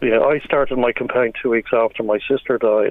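Speech in an Irish accent comes at a fairly quick pace over noticeable background noise. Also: man. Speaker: bereaved campaigner. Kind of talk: radio phone interview. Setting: phone call.

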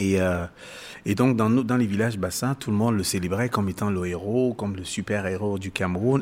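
On a very clean recording with a silent background, a man with a fairly low pitch talks at a moderate pace with fairly even intonation. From Cameroon. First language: Bassa (speaking French). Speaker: musician and author. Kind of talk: interview. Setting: live event venue. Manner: halting.

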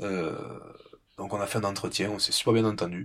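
A man with a slight southwestern French accent talks at a fairly quick pace in a fairly low voice with vocal fry. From southwest France, rural. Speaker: ornithologist. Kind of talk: interview. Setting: small wooden hut above penguin colony, Antarctica. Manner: halting, many repetitions.

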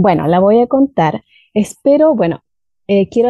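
A woman speaks in an unremarkable speaking voice. Her pace is fairly slow. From southern Chile, Valdivia. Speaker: language teacher. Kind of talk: storytelling.

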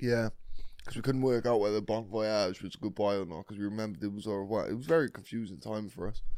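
Dark and mellow in tone, a man's voice sits at a fairly low pitch. He speaks at a very fast pace with a British accent. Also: ordinary pitch variation. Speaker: podcast co-host. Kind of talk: casual chat.

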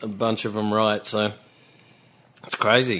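A man's fairly low voice with an Australian accent. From Australia, Melbourne. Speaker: songwriter. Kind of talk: casual chat.

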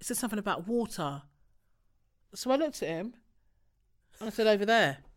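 A woman's fairly high, playful voice with vocal fry, very fast delivery and lively intonation. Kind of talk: casual chat. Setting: studio. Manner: joking, playful.

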